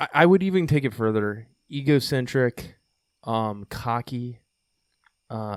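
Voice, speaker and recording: A man speaks at a medium pitch and a moderate pace. His intonation is lively, and the recording is very clean with a silent background. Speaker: podcast host, veterans project founder. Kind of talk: podcast interview. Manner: talkative.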